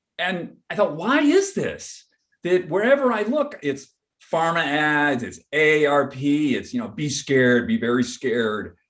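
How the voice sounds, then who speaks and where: A man with a plain, everyday voice talks at a fairly slow pace, his fairly high pitch rising and falling in lively intonation. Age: 60s. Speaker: photographer and researcher on aging. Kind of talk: panel interview. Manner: casual, with many fillers and restarts.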